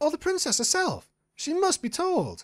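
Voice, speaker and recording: Extremely high and squeaky, a put-on character voice at a moderate pace. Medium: read story. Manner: prim, genteel.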